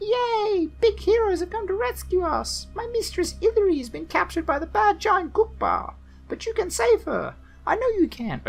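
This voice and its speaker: A shrill put-on character voice moves at a moderate pace with music in the background. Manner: excited, cheerful.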